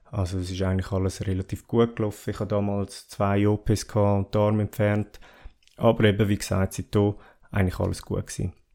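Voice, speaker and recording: A man talks fairly quickly in a fairly low, dark, mellow voice. His intonation stays monotone and flat, and the recording is very clean with a silent background. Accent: Swiss. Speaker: podcast host. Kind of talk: solo podcast monologue. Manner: halting, many fillers.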